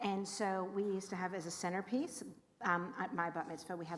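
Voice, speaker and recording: Speaking at a fairly quick pace, a woman uses a medium pitch with a Californian accent. Audible room echo surrounds her voice. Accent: Californian American. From California, Los Angeles. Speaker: rabbi. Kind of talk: info session talk to congregation. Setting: room with live audience and livestream. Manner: animated.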